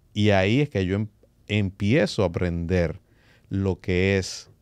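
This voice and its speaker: In a dry sound with no echo and a quiet background, a man speaks very slowly at a very deep, low pitch with fairly even intonation. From Dominican Republic, San Francisco de Macorís; Dominican Republic. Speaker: music industry executive; podcast guest. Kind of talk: interview. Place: studio. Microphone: studio mic.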